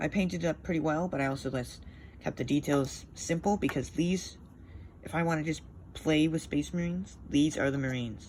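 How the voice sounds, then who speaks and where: A woman talks at a fairly quick pace in a very deep, low voice. Her pitch varies in an ordinary way. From Canada, Ontario near Quebec. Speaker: miniature hobbyist YouTuber. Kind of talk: casual hobby showcase monologue. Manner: fast, rambling with fillers.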